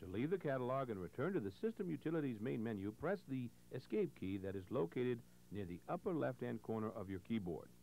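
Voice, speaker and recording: A dark, mellow tone with vocal fry, very wide pitch swings and a fairly quick pace. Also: man. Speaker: instructional video narrator. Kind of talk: scripted 1980s instructional-video narration, step-by-step tutorial. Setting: voiceover over on-screen computer demonstration. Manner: clear, measured, formal, patient.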